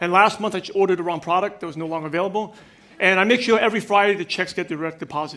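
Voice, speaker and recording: A man speaks very fast in a raised, projected voice with an energetic tone. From New York (Brooklyn). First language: not English (English is third language). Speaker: business coach and speaker. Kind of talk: keynote speech. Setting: stage with audience. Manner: energetic, direct.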